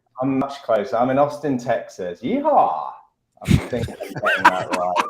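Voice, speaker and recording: Moderate in pace, a man speaks. His loudness swings widely. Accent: British. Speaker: restaurant tech CEO. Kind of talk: panel discussion.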